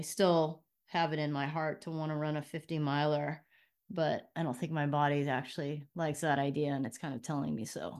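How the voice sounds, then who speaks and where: A woman with a Californian accent, very deep, low pitch and fairly even intonation, at a fairly quick pace on a very clean recording with a silent background. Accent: Californian American. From Los Angeles, Southern California. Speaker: former prosecutor and athlete. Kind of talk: interview.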